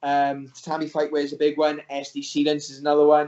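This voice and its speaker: This man speaks with a fairly high pitch. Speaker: MMA fighter. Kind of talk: interview. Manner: fast; hesitant, many fillers.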